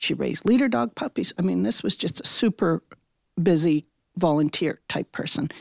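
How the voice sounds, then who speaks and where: A woman talks at a moderate pace with a fairly low pitch and vocal fry. Her pitch swings very widely, and the sound is dry and close with no echo. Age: 70s. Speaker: longtime volunteer puppy raiser. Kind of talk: interview.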